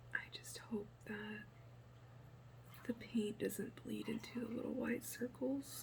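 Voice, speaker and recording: Soft-spoken, the speaker talks at a very slow pace with long, frequent pauses. Noticeable background noise runs underneath. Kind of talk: ASMR painting tutorial.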